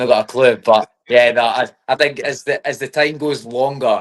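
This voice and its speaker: A man is speaking. He has a Scottish accent. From Scotland. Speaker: MMA fighter. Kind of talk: casual interview.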